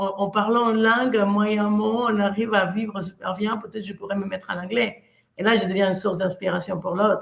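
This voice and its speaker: A woman with a Mexican accent, medium in pitch, at a fairly quick pace with big swings in loudness. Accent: Mexican Spanish accent in French, noticeable. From Mexico. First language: Spanish (speaking French). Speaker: coach. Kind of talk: motivational talk. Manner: animated.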